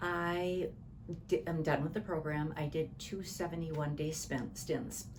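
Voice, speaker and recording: This woman's voice is very deep and low, with fairly even intonation at a fairly slow pace. Audible echo fills the room. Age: 60s. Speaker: client giving testimonial. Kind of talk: interview testimony. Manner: halting.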